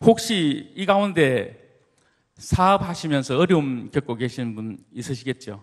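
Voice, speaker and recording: A man with a fairly high pitch, very wide pitch swings and a fairly slow pace. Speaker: church deacon, business owner. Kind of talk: church testimony talk. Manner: formal.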